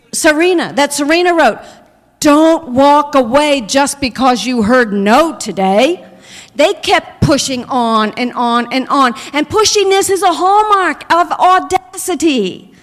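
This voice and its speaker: A woman's high voice with very wide pitch swings, at a fairly slow pace over noticeable background noise. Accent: American. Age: 60s. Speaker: minister. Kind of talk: sermon. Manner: animated.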